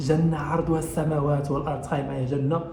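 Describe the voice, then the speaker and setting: Audible room echo surrounds a man speaking with a Moroccan accent. He keeps a moderate pace while music plays in the background. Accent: Moroccan Darija dialect. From Morocco. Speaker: YouTuber. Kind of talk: casual vlog storytelling.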